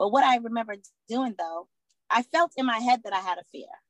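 In an American accent, an unremarkable speaking voice moves at a fairly quick pace with ordinary pitch variation, the sound dry and close with no echo. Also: woman. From Boston, Massachusetts. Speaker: former prisoner and advocate for at-risk women. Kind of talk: interview.

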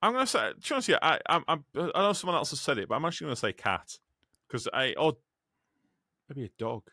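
A man with an English accent talks at a very fast pace with long, frequent pauses, in a fairly high, bright, sharp voice with vocal fry. His pitch swings very wide, in a dry, close sound with no echo on a very clean recording with a silent background. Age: 30s. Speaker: podcast host and truck driver. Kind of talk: casual chat.

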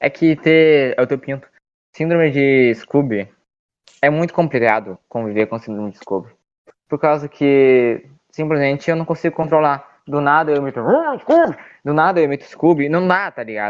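A man with a southern Brazilian accent speaks at a moderate pace with long, frequent pauses. His pitch is fairly high, with ordinary pitch variation. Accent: gaúcho. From Rio Grande do Sul, Porto Alegre. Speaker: podcast guest, meme page creator. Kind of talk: casual chat. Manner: animated.

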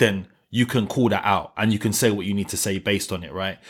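On a very clean recording with a silent background, a man with a London accent talks at a very fast pace with fairly even intonation. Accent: London, multicultural London English. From south London (New Cross). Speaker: radio broadcaster. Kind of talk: casual interview chat.

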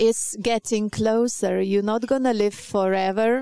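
In a dry, close sound with no echo, a woman speaks slowly at a medium pitch with fairly even intonation and a dark, mellow tone that is clear and smooth.

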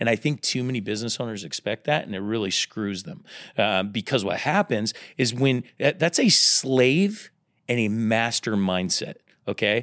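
A man speaks at a moderate pace with lively intonation and medium pitch in a normal speaking voice, the sound dry and close with no echo. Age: 30s. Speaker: entrepreneur. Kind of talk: interview.

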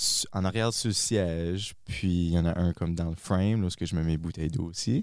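Over a very clean recording with a silent background, a man with a very deep, low pitch speaks at a moderate pace with fairly even intonation and very even loudness. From northern New Brunswick, Acadia. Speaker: mountain biker. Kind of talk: casual interview.

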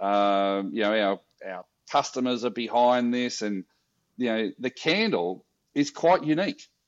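With an Australian accent, a man speaks at a fairly slow pace and medium pitch, his intonation lively, in a dry, close sound with no echo and a quiet background. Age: 50s. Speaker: social enterprise founder. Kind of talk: interview.

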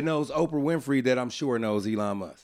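On a very clean recording with a silent background, a man speaks at a fairly slow pace. His tone is animated, with lively intonation. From Oakland, California. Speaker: rapper and podcaster. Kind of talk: casual chat.

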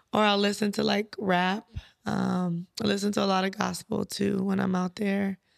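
With an American accent, a woman speaks at a moderate pace and very even loudness in a dry, close sound with no echo. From US West Coast (San Bernardino, California). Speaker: trucking business owner. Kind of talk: casual interview chat.

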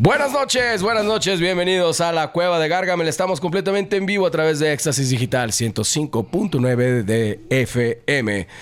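With hardly any pauses, a man talks at a fairly slow pace in a fairly high voice, his pitch swinging very widely while his loudness stays very even. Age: 40s. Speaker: radio host and band member. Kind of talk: live radio chat. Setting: radio studio.

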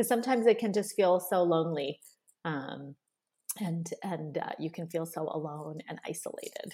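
With ordinary pitch variation, a woman speaks in a fairly low pitch. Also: moderate pace. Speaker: psychiatrist. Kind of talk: casual interview chat. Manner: halting, filler-heavy.

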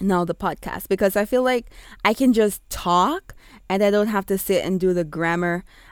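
A woman with an American accent, medium pitch, moderate pace and ordinary pitch variation, in a dry, close sound with no echo on a very clean recording with a silent background. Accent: Jamaican with American switching. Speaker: blogger and podcaster, ESL teacher. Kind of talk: casual solo podcast intro. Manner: animated, excited, chatty.

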